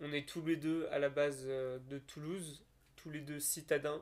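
In a monotone, flat intonation, a man speaks at a fairly slow pace with a fairly high pitch for a man. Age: 20s. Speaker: landscape designer and podcast co-host. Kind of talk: casual chat.

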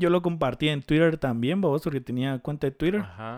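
Lively intonation at a moderate pace with a Guatemalan accent, in a very clean recording with a silent background. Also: man. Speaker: podcast co-host. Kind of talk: casual chat.

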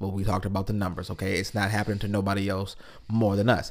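In an American accent, a man talks at a fairly low pitch. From Lansing, Michigan. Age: 30s. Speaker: podcast co-host. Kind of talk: casual chat.

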